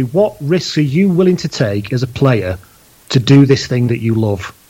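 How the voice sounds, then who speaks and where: Lively intonation is heard over noticeable background noise. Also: man. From northern England (Leigh, Lancashire). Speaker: podcast host and rugby blogger. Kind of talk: casual chat.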